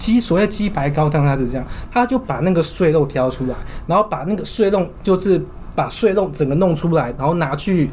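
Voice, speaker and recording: With lively intonation, a man speaks at a fairly quick pace in a high pitch. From southern Taiwan. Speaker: podcast co-host. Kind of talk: casual chat. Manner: animated.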